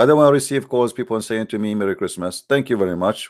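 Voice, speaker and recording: Speaking at a fairly quick pace, a man has an Arabic accent and medium pitch. His pitch shifts in an ordinary way. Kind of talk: live call-in show. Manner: halting; animated.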